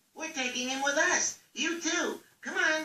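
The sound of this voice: A cartoonish character voice, squeaky and high-pitched, moves along at a moderate pace.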